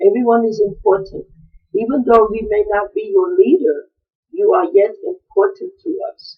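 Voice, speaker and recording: A woman speaks at a moderate pace in a high pitch. Her pitch swings very widely, and her loudness rises and falls sharply. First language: African language, not English. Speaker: traditional queen mother answering questions. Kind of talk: video address answering viewer questions. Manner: halting, with fillers.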